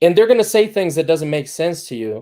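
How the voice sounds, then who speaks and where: The voice has a dark, mellow tone and very wide pitch swings. The recording is very clean, with a silent background. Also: man. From Dominican Republic. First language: Spanish. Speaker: agency founder. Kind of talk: talk to students. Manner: many fillers and repetitions.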